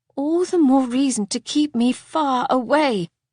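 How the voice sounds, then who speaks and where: A female-sounding voice performs a put-on character voice at a high pitch. The pace is fairly slow. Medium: read story. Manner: formal, restrained.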